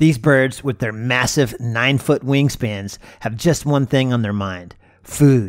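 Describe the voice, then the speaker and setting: The recording is very clean, with a silent background. A man speaks fairly slowly in an unremarkable speaking voice with ordinary pitch variation. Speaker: wildlife photographer and video creator. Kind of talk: scripted nature documentary narration over footage. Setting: video voiceover. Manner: measured, smooth, storytelling tone with gentle wonder; lightly playful and warm, like a documentary narrator.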